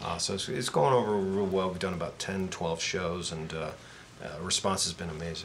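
The speech moves at a fairly quick pace with ordinary pitch variation, set in audible room echo and noticeable background noise. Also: man, very deep, low pitch for a man. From Canada, Toronto. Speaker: rock guitarist. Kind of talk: casual chat.

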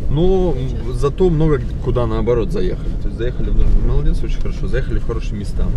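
A man rattles along at a very fast pace, the sound dry with no echo and noticeable background noise behind him. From Magadan region, Russia. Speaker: travel vlogger. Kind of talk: casual vlog narration. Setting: outdoors, travelling by car. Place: car. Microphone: camera far.

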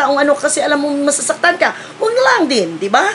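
Against light background noise, a woman talks at a fairly quick pace in a high voice. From Philippines. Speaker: vlogger. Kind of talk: casual vlog chat, opinion rant. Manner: scolding, emphatic. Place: home room. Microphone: phone near.

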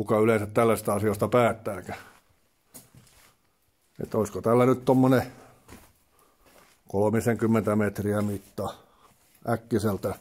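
A man speaks at a fairly low pitch and a fairly slow pace. His intonation is monotone and flat, with long, frequent pauses. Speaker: urban explorer. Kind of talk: casual talk to camera while exploring. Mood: tense, excited. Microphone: phone near.

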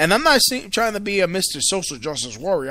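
A man with an American accent projects a raised voice, high in pitch and bright and sharp in tone, with very wide pitch swings. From New York City. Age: 30s. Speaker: radio host.

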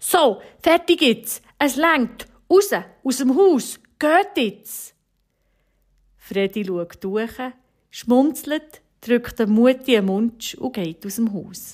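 A high-pitched woman in a Bernese accent, with very wide pitch swings, a very slow pace and long, frequent pauses. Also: very clean recording, silent background. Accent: Bernese Swiss German. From Switzerland, Bernese Oberland (Steffisburg). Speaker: homemaker and mother telling an encouraging story. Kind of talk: storytelling radio devotional.

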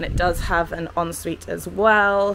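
Moderate pacing from a woman. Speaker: travel vlogger. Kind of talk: casual vlog chat. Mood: cheerful, chatty. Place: home room. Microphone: phone near.

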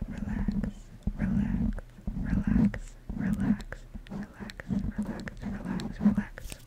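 Very slow whispering with long, frequent pauses. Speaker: ASMR artist. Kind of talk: casual ASMR ramble. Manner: soft-spoken, whispered. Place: home room. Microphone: studio mic.

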